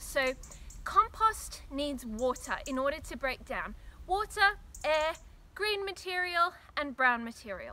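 A woman's high, raised, projected voice in an Australian accent, fairly slow, with very wide pitch swings and long, frequent pauses. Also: big swings in loudness. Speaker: gardening vlogger. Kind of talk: tutorial. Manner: casual. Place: garden.

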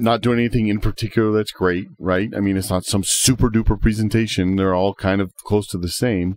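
A man talks in a normal speaking voice with a fairly low pitch. His pitch varies in an ordinary way. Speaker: fishing podcast host. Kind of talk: casual chat.

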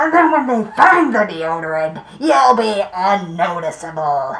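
This female-sounding voice is a put-on character voice. Its pitch sits in the medium range with very wide swings. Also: moderate pace. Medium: comedy short film. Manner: menacing, threatening.

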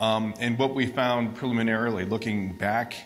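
Man with a plain, everyday voice, fairly low pitch and fairly even intonation. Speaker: audience member and academic. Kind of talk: audience Q&A. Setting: audience microphone in a hall.

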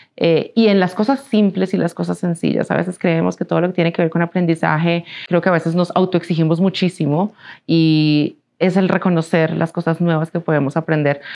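Against a quiet background, the speaker talks at a fairly quick pace with a Colombian accent, fairly even intonation, and very even loudness. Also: woman, fairly low pitch for a woman. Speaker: business executive; interviewee. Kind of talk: interview. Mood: calm, reflective. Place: studio. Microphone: lapel.

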